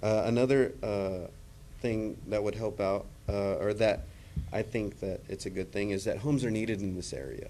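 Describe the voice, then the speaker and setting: With an American accent, a man speaks at a moderate pace in a fairly low, dark, mellow voice with ordinary pitch variation, and room echo is audible. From Texas, Gregory. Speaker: public commenter. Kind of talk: public comment at council meeting. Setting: city council meeting. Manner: halting, many fillers.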